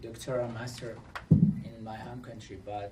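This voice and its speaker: In a room with audible echo, a man talks at a moderate pace with fairly even intonation. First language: not English; English is third language. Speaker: refugee panelist. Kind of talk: panel discussion testimony.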